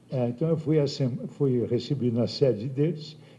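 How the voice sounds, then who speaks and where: Medium-pitched man, somewhat breathy, with a dark, mellow tone. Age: 70s. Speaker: bishop. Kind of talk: speech to assembly. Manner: animated.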